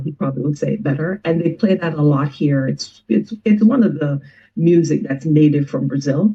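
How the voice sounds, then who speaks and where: A woman with a very deep, low pitch speaks somewhat breathily, with ordinary pitch variation. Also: hardly any pauses. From Jamaica. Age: 50s. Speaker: musician. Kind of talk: interview conversation.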